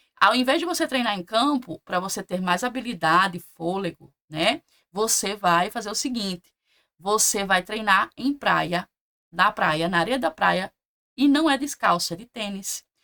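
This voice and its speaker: Her tone is bright and sharp, at a medium pitch, with lively intonation. The woman goes at a fairly slow pace, and the sound is dry and close with no echo. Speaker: nursing exam prep teacher. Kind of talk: online class lecture. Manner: casual, with many false starts.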